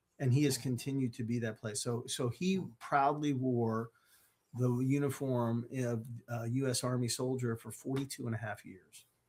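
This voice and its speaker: A man's voice, medium in pitch and somewhat breathy. He keeps a moderate pace with fairly even intonation. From US, Maryland. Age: 60s. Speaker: mental health speaker. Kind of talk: interview.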